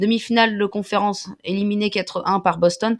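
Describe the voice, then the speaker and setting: A woman at medium pitch, fairly even in intonation, on a very clean recording with a silent background. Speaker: basketball YouTuber. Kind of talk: reading aloud. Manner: fast.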